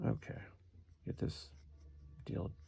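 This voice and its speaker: With vocal fry and a dark, mellow tone, a man talks. His pace is fairly slow. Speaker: woodcarving instructor. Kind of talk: tutorial. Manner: casual, conversational; whispering at times.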